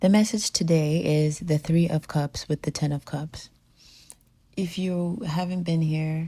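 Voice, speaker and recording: A woman's very deep, low voice with a dark, mellow tone, somewhat breathy, with fairly even intonation at a fairly slow pace. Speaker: tarot reader. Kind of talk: spiritual reading monologue. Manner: slow and clear.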